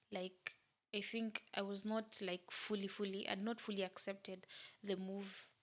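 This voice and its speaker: In a monotone, flat intonation, this woman talks fairly slowly. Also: medium pitch for a woman. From Kenya. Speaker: YouTuber. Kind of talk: casual talk to camera.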